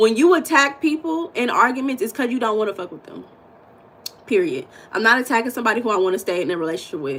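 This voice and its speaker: A woman with an American accent, high-pitched and animated, at a very fast pace with very wide pitch swings and big shifts in loudness, over noticeable background noise. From United States. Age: 40s. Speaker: mindset and spiritual coach, livestream host. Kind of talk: live-stream chat with viewers. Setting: live stream with chat.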